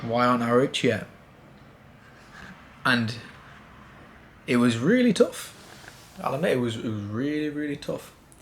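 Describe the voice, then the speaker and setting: A man with a British accent speaks at a moderate pace with a medium pitch and ordinary pitch variation, leaving long, frequent pauses. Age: 20s. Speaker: vlogger. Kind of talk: personal vlog monologue. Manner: casual.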